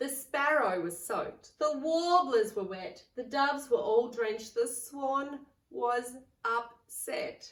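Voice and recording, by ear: A woman speaks slowly in a high pitch with a fairly bright tone. Her pitch varies in an ordinary way, and room echo can be heard.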